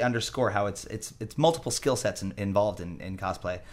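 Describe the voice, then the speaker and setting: Talking at a fairly quick pace, a man uses an ordinary speaking voice with fairly low pitch and ordinary pitch variation. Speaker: podcast host and musician. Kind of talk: casual chat. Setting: studio.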